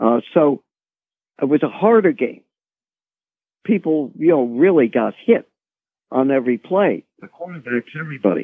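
Pausing long and often, a man speaks at a moderate pace with a fairly high pitch and very wide pitch swings. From Baltimore, US. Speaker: former NFL executive. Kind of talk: interview.

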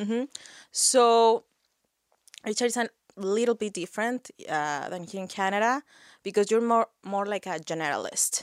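A Spanish accent, with long, frequent pauses, in a dry, close recording with no echo, very clean and against a silent background. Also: woman, fairly high pitch for a woman, ordinary pitch variation, moderate pace. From Mexico. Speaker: HR professional and community organizer. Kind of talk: interview.

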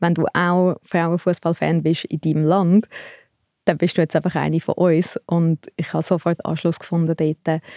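A woman speaks at a fairly low pitch, with a dark, mellow tone and monotone, flat intonation, at a moderate pace. The sound is dry and close with no echo, on a very clean recording with a silent background. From Switzerland, Thalwil near Zurich. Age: 30s. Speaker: sports photographer and fan culture researcher. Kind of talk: interview conversation.

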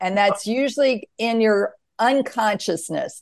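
A woman with a normal speaking voice talks at a fairly slow pace with ordinary pitch variation over a quiet background. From US South. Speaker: author and near-death experiencer. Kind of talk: interview.

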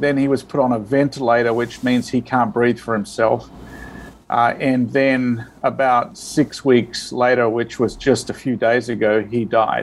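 A man with an Australian accent, medium pitch, flat monotone intonation and a fairly slow pace. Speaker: priest and charity director. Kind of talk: interview. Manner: halting.

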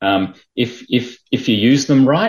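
Recorded very cleanly against a silent background, a man with an Australian accent speaks with ordinary pitch variation. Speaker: management consultant. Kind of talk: interview.

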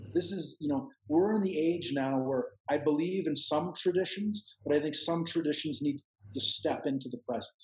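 With a Canadian accent, a man speaks at a moderate pace in a fairly high voice with ordinary pitch variation, a normal speaking voice. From Canada. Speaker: psychedelic retreat center owner. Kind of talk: casual interview conversation.

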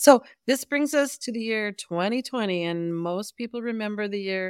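In a very clean, dry, close recording with a silent background and no echo, a woman with a normal speaking voice and medium pitch talks at a fairly slow pace with ordinary pitch variation. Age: 60s. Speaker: podcast co-host, rural entrepreneur.

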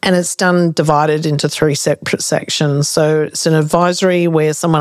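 A woman with an Australian accent speaks at a moderate pace. Her very deep, low voice stays monotone and flat. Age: 50s. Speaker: consultancy CEO and podcast host. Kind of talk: casual interview chat.

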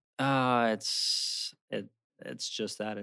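A man's voice with an American accent and fairly even intonation, in a very clean recording over a silent background. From Maryland. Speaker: former lay missionary, engaged. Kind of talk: casual interview chat.

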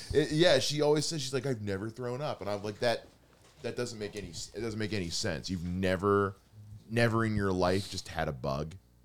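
This man has an unremarkable speaking voice at a fairly low pitch. He talks fairly quickly with lively intonation. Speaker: comedian podcast co-host. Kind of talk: casual comedic banter.

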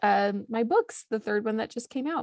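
An ordinary speaking voice from a woman, fairly high in pitch with lively intonation, at a moderate pace, dry and close with no echo. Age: 30s. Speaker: cookbook author. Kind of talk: casual chat.

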